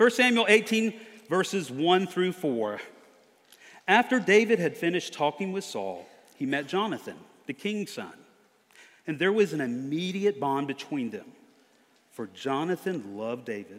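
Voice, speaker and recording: With an American accent, a man speaks high-pitched, with very wide pitch swings and long, frequent pauses. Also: moderate pace. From US South, near Charleston, South Carolina. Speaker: preacher. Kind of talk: sermon.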